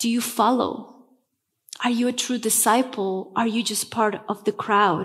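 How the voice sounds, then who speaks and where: A woman speaks with a Spanish accent at a fairly slow pace. Her pitch is fairly high, with fairly even intonation. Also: quiet background. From Bolivia, La Paz. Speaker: pastor. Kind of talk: sermon. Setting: church. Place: church. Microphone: headset.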